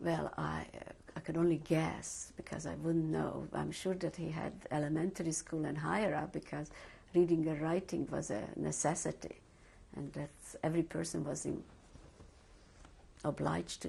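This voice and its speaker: With long, frequent pauses, a woman talks at a moderate pace in a Hungarian accent. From Hungary. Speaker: Holocaust survivor. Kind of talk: oral history interview. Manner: hesitant, with many fillers.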